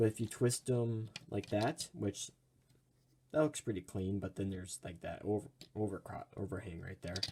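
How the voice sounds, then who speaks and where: His voice is fairly low in pitch, somewhat breathy and dark and mellow in tone as the man speaks. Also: ordinary pitch variation, moderate pace. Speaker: toy reviewer. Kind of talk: product review. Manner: casual, with fillers.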